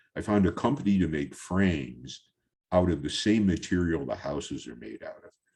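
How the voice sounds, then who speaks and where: With vocal fry and a very deep, low pitch, a man speaks at a moderate pace using lively intonation. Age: 70s. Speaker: photographer. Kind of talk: presentation talk over slides. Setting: virtual talk. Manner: halting, many fillers.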